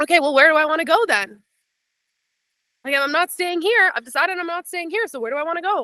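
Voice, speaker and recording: A woman speaks in a raised, projected voice at an extremely high pitch, with a bright, sharp, animated tone and lively intonation. Her pace is very fast, broken by long, frequent pauses, and the sound is dry and close with no echo. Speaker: business coach. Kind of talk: live online masterclass.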